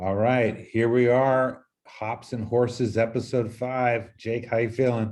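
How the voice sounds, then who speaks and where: A man talks with hardly any pauses in a monotone, flat intonation. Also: fairly slow pace. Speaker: podcast host. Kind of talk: casual chat.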